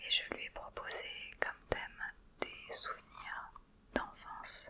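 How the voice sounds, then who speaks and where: Whispering at a very slow pace amid noticeable background noise. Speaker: ASMR creator. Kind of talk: ASMR whispered talk. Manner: whispered.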